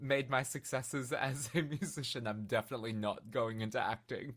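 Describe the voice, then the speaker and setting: A man speaks with an Australian accent. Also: very clean recording, silent background. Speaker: singer-songwriter. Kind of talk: casual chat.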